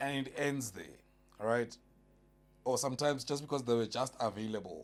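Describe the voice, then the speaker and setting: There is music in the background as a man talks at a fairly quick pace with an animated tone. His pitch is medium, with ordinary pitch variation. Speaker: podcast panelist. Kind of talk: casual chat.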